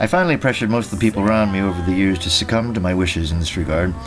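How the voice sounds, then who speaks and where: A voice with lively intonation speaks over music playing in the background. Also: man. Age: 60s. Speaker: podcast host reading his own memoir. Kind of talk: reading aloud from own memoir.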